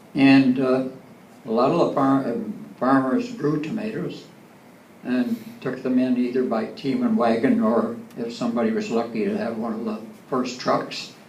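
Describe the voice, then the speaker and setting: Amid noticeable background noise and audible room echo, a man with a medium pitch speaks at a moderate pace with lively intonation and long, frequent pauses. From Ontario, Canada. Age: 80s+. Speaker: local elder. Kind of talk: talk to audience. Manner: halting.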